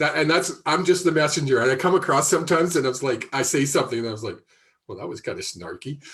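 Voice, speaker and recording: His intonation rises and falls in a lively way. This man speaks at a very fast pace. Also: big swings in loudness. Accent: Canadian. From Canada, Alberta (Airdrie). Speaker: psychic medium. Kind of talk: live intuitive reading. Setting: live video stream. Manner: halting, many filler ums and restarts.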